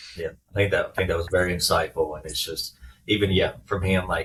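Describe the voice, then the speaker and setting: A man talks with a strong Southern accent. Noticeable background noise runs underneath. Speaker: former baseball player, business owner. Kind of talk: podcast interview.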